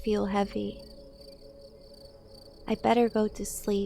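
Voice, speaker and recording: Music plays in the background as a woman talks. She speaks at a fairly slow pace. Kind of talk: calm first-person narration reading the game's text, sleepy tone. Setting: headphone / ASMR-style recording.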